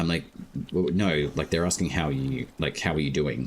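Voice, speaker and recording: The speaker has an Australian accent and talks at a fairly quick pace. Noticeable background noise runs underneath. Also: man. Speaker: gaming streamer. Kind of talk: casual chat.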